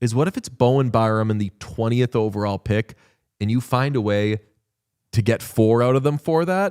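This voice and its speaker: Recorded very cleanly against a silent background, a man speaks at a moderate pace and medium pitch with a dry, close sound and no echo. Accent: slight Boston. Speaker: hockey podcast host. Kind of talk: casual chat. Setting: studio. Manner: animated.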